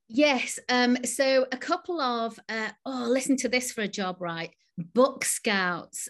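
A woman speaks at a very slow pace with lively intonation. The background is quiet. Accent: northern English. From northern England. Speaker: novelist and creative writing teacher. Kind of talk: casual interview. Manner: hesitant, many fillers and repetitions.

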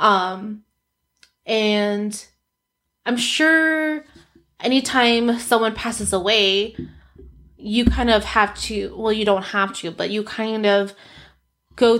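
A woman speaks very slowly with fairly even intonation and a fairly high pitch. The recording is very clean, with a silent background. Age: 30s. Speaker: podcast host and coach. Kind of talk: casual solo podcast monologue, personal storytelling. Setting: home office studio with ring light and camera. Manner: conversational, with frequent laughs.

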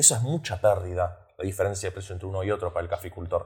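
In a very clean recording with a silent background, a man with a very deep, low pitch talks at a very fast pace, somewhat breathy, with fairly even intonation. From Australia. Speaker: podcast host. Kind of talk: interview.

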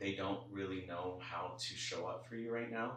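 A man with an American accent talks at a fairly low pitch with ordinary pitch variation. Noticeable background noise and audible room echo fill the recording. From Los Angeles (Koreatown). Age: 20s. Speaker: psychic medium. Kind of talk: spiritual reading.

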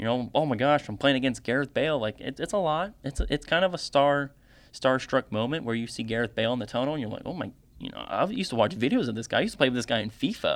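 A man speaks at a very fast pace. His pitch sits in the medium range. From United States. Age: 20s. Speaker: podcast host. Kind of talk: solo sports commentary podcast. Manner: animated.

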